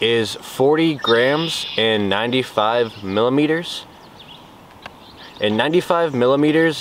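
Noticeable background noise surrounds a man speaking with ordinary pitch variation in a dry sound with no echo. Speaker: fishing vlogger. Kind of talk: casual vlog chat. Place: waterside.

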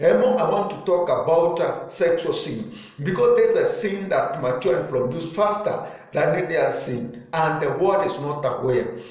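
Heard with audible room echo, a man speaks at a moderate pace. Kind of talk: sermon. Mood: earnest, preaching tone. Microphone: phone near.

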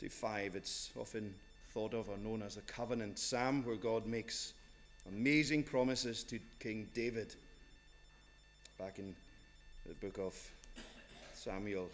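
Faint music plays in the background. A man speaks with fairly even intonation and long, frequent pauses. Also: fairly slow pace. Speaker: minister. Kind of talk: church service announcements and reading. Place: church. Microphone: podium.

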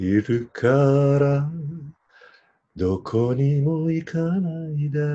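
Speaking at a very slow pace, a man with a fairly high pitch uses lively intonation. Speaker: boyfriend reading romantic lines. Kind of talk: late-night radio style romantic reading. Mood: intimate, playful. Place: home room. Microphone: video call.

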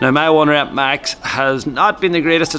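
Music plays faintly behind the speech. The speaker is a man. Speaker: fitness coach. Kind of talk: casual vlog chat. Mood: relaxed, upbeat. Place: gym. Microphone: phone near.

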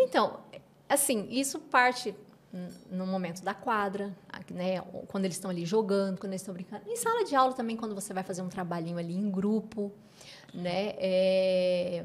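The speech has a moderate pace, ordinary pitch variation and long, frequent pauses. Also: woman, medium pitch for a woman. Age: 40s. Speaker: educational neuropsychopedagogue; guest. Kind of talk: interview. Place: studio. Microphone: studio mic.

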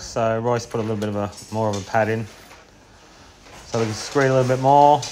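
A fairly quick pace of talk against noticeable background noise. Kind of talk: casual work commentary. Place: street. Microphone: phone near.

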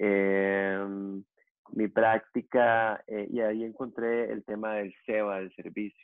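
Delivered in a Costa Rican accent at a very slow pace, the monotone, flat speech comes through dry with no echo against a quiet background. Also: man, fairly low pitch for a man. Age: 40s. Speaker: yoga teacher; yoga teacher guest. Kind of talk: interview conversation. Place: home room. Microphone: earbuds.

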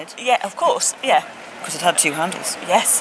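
Noticeable background noise sits behind a woman's voice. The sound itself is dry, with no echo. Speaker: guest. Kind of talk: interview answer. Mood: animated, amused. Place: hall.

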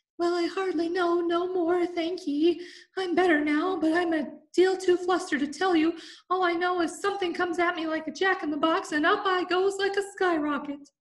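A woman uses a put-on character voice that is squeaky and extremely high in pitch. She speaks at a moderate pace. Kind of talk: working-class, dialect.

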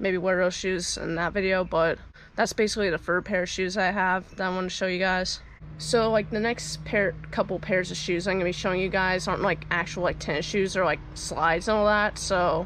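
A woman speaks at a fairly quick pace with monotone, flat intonation and vocal fry. The sound is dry with no echo, over light background noise. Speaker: vlogger. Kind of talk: casual vlog chat. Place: garden. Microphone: phone near.

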